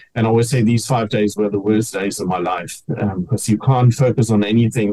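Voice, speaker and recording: A man's dark, mellow, somewhat breathy voice sits at a fairly low pitch, moving at a moderate pace with ordinary pitch variation. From Namibia, German-descended family. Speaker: cancer survivor and teacher. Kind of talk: interview testimony.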